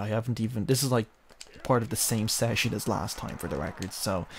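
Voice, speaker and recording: A man speaks quietly, with ordinary pitch variation. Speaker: gaming video creator. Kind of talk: let's play commentary. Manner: hushed, low-key; halting, filler-heavy.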